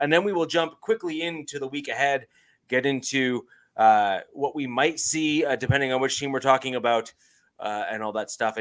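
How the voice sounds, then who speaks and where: This is a man with a plain, everyday voice, fairly high in pitch, in a Canadian accent. He talks at a moderate pace with ordinary pitch variation on a very clean recording with a silent background. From Canada. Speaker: podcast host. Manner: casual, uses filler "uh" often.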